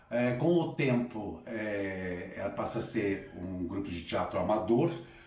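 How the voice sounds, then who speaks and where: Amid noticeable background noise and audible room echo, the speaker goes at a very slow pace with lively intonation. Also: man, fairly low pitch for a man. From Assis, interior of São Paulo state, Brazil. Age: 60s. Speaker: theatre director and teacher. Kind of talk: interview.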